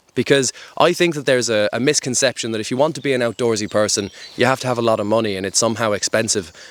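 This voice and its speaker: Talking at a very fast pace, a man with an Irish accent has a medium pitch and ordinary pitch variation. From Ireland. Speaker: outdoor adventure vlogger. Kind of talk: casual monologue to camera. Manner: conversational, filler-heavy.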